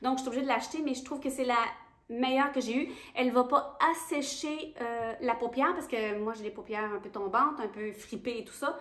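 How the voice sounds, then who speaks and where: The delivery moves along fairly quickly. Its pitch shifts in an ordinary way. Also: woman. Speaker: beauty youtuber. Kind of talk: casual product review vlog.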